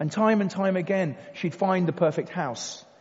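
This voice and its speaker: A man with a high pitch speaks at a moderate pace. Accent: southern English. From Kent, England. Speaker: recovered addict, former soldier. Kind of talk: testimony. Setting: church with audience.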